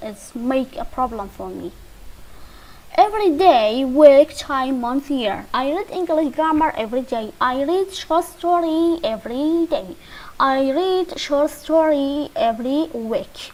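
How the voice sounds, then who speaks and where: A woman speaks at a very slow pace in a high voice, with a Kurdish accent. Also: lively intonation, big swings in loudness. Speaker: English teacher. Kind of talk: lesson. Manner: halting.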